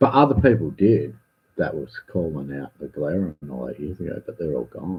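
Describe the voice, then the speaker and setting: Speaking at a moderate pace with an Australian accent, the man has a very deep, low voice with vocal fry and very wide pitch swings. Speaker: livestreamer. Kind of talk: ranting livestream. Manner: animated, repetitive.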